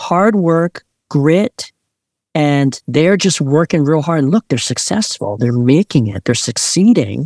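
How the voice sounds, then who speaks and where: Speaking at a moderate pace with a Mid-Atlantic American accent, a man uses a fairly high pitch with very wide swings. The recording is very clean and dry, close with no echo, over a silent background. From Maryland, Montgomery County. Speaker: pastor. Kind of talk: interview conversation.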